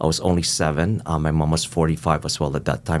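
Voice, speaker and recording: The man's pitch is very deep and low, with vocal fry. He talks at a fairly quick pace. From Philippines (Manila), raised in Toronto from age 13. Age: 60s. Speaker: finance executive. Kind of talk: interview.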